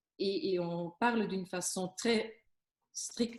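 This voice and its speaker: The speaker is a woman at medium pitch. Her voice is somewhat breathy. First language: Flemish (speaking French). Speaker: business coach on workplace stress. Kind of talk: interview giving advice. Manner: hesitant, many fillers and restarts.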